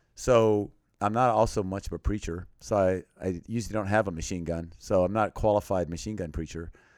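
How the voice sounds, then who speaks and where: In a plain, everyday voice, a man talks at a fairly quick pace with fairly low pitch and ordinary pitch variation, on a very clean recording with a silent background. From Thailand (American missionary family). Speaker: missionary and humanitarian aid worker in war zones. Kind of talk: podcast interview.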